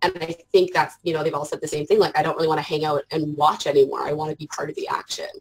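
With a Canadian accent, a woman is talking. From Canada. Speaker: art journaler and parent; interview guest. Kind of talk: casual interview chat. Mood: warm, reflective. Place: home room. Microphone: earbuds.

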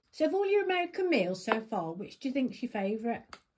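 Over noticeable background noise, a woman speaks fairly quickly at a fairly high pitch, her voice making very wide pitch swings. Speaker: family caregiver cooking for her father. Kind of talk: casual conversation at dinner. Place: home room. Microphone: phone near.

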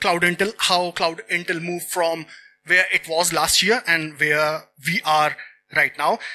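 A man speaks at a moderate pace. Light background noise can be heard. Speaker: security researcher, conference speaker. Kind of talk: conference talk. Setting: stage with audience. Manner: energetic, animated. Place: stage. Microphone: handheld.

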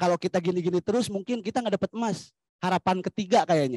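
A man's high-pitched voice, dark and mellow in tone, with ordinary pitch variation against a quiet background. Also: dry sound with no echo. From Majalengka, West Java; West Java. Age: young. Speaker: youth community activist; panelist. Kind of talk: panel discussion. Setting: forum with live audience. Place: open country. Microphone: handheld.

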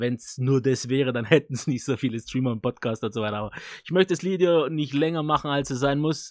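Against a quiet background, a man talks at a fairly quick pace with ordinary pitch variation and a dry sound with no echo. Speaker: tech YouTuber reviewing microphones; tech reviewer. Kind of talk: product review. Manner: casual, loose. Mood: relaxed, cheerful. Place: studio. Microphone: studio mic.

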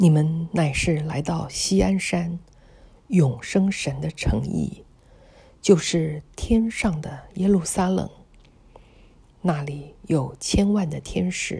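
At a very slow pace, a woman speaks with ordinary pitch variation and long, frequent pauses. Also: fairly low pitch for a woman. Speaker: audio Bible reader. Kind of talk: scripture reading.

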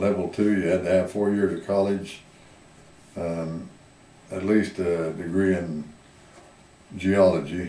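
In a rural Southwestern US accent, a man speaks at a very deep, low pitch with monotone, flat intonation. His fairly slow delivery has long, frequent pauses, and the room echo is audible. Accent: US Southwest rural. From Arizona. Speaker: retired miner and former rancher; interviewee. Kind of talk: oral history interview. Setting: museum. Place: hall.

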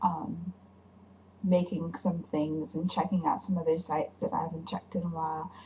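Somewhat breathy, a woman speaks at a moderate pace with a fairly low pitch. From Hawaii. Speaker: vlogger. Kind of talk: casual vlog to camera. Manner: tired, late-night. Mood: playful, self-mocking. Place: home room. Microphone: webcam.

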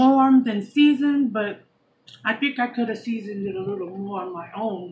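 A woman's somewhat breathy voice moves at a middling speed, its pitch varying in a normal way. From New York, Puerto Rican background. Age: 40s. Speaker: YouTube vlogger. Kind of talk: casual mukbang chat to camera. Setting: eating on camera at home. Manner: animated; chatty. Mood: relaxed, chatty. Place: home room. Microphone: phone near.

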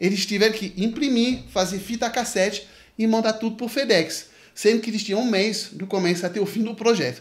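A man's high-pitched voice at a fairly quick pace. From France. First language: French (speaking Portuguese). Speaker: music career coach, YouTuber. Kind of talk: video commentary to camera. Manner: casual, animated. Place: home room.

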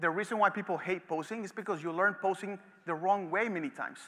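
A raised, projected voice in an animated tone, with ordinary pitch variation, over a quiet background. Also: man. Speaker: photography educator. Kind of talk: lecture. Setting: stage with audience. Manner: fast. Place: stage. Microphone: headset.

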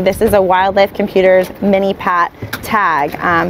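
The woman speaks at a moderate pace with monotone, flat intonation. The sound is dry with no echo, and there is light background noise. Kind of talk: explanatory talk to camera. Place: boat. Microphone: lapel.

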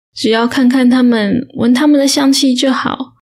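At a fairly slow pace, a woman speaks in a fairly high voice with a calm tone. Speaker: audiobook narrator. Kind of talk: audiobook reading, bedtime story. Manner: slow, calm.

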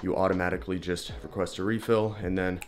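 A man talks at a very fast pace in a very deep, low voice with fairly even intonation, and faint music plays in the background. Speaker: fitness vlogger. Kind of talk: sponsor read in a casual vlog. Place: home room. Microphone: phone near.

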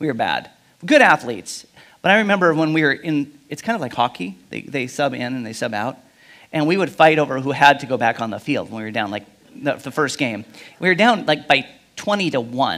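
A man's bright, sharp tone over a quiet background. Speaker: pastor. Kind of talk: sermon. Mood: humorous personal anecdote. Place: church. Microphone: headset.

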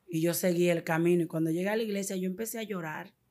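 Against a quiet background, a woman speaks with ordinary pitch variation. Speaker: evangelical convert giving testimony; guest. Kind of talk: testimony. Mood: earnest, emotional. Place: studio. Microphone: studio mic.

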